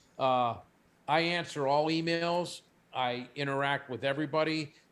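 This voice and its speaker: With a plain, everyday voice, a man talks at a moderate pace, fairly high pitch, and fairly even intonation. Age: 60s. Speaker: company CEO. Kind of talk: interview; product pitch.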